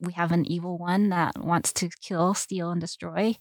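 With a West Coast US accent, the speaker keeps a moderate pace and fairly even intonation, the sound dry and close with no echo on a very clean recording with a silent background. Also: woman. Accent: General American, West Coast. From Southern California. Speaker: biblical counselor, former psychologist. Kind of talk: interview, personal testimony.

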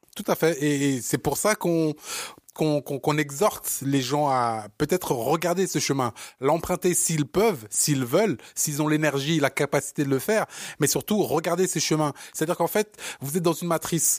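Sounding animated, a man with a Parisian accent speaks at a fairly high pitch with ordinary variation, dry and close with no echo, in a very clean recording with a silent background. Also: moderate pace. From born in Africa, raised in Paris. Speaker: podcast co-host, entrepreneur. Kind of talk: casual chat. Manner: halting.

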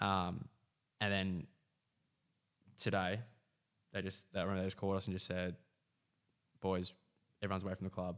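Speaking at a moderate pace with long, frequent pauses, a man with a very deep, low voice keeps a monotone, flat intonation on a very clean recording with a silent background. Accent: Australian. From Western Australia. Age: 20s. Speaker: footballer. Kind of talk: casual chat.

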